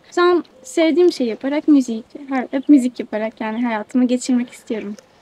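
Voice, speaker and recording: A high-pitched woman speaks at a moderate pace, the sound dry and close with no echo and noticeable background noise. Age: 20s. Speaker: musician. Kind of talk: interview. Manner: hesitant.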